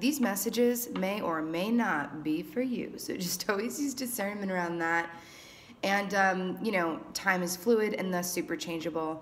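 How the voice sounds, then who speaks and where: A raspy, put-on character voice at a moderate pace, over light background noise. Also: woman, medium pitch for a woman. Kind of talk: calm, reading/guidance delivery.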